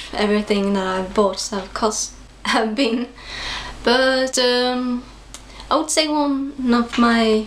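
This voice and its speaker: A woman speaks at a very slow pace with a high pitch. Her intonation stays fairly even over light background noise. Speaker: vlogger. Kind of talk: casual vlog chat. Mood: shy, giggly. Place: home room. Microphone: phone near.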